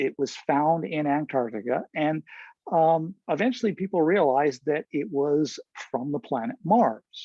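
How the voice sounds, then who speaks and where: A man speaks in a plain, everyday voice with a fairly high pitch. His intonation is lively and his pace fairly slow. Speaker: astronomer. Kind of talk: lecture.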